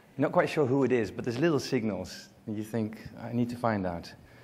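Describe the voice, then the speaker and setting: Speaking in a Dutch accent, this man has a medium pitch and ordinary pitch variation. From Netherlands. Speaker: global marketing consultant. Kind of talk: conference presentation. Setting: stage with audience.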